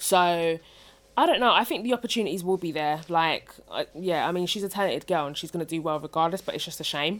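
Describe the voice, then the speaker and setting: Speaking at a very fast pace, a woman with a fairly low voice shows ordinary pitch variation on a very clean recording with a silent background. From Essex, England. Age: 30s. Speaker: podcaster. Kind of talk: casual chat.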